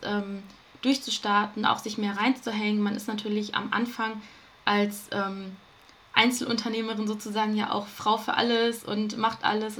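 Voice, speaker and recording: Over noticeable background noise, a woman speaks at a moderate pace. Her pitch is fairly high and her intonation monotone and flat. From Ruhr area, Germany. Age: 20s. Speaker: self-love coach. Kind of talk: podcast interview.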